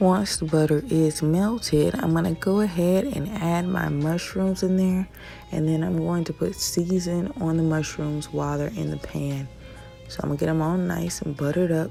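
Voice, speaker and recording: Over music in the background, a woman talks in a relaxed tone at a moderate pace. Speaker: mom lifestyle vlogger. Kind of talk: casual cooking tutorial to camera. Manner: relaxed, chatty.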